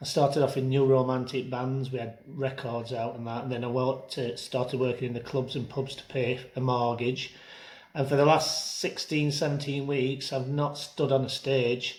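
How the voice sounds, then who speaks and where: With a South Yorkshire accent, a man speaks somewhat breathy in a monotone, flat intonation. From northern England, Rotherham, South Yorkshire. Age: 60s. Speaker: entertainer and singer. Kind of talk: personal testimony. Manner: casual, hesitant with fillers.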